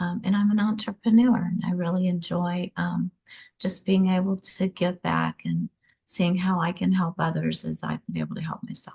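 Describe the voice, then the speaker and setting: A woman with an American accent speaks at a medium pitch and fairly slow pace, her dark, mellow tone somewhat breathy. The intonation is monotone and flat, the sound dry and close with no echo. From Louisiana, US South. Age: 60s. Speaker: prison ministry volunteer. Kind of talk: testimony.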